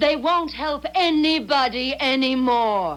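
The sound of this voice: A woman puts on a character voice, high-pitched and slow, with lively intonation. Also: fairly bright tone.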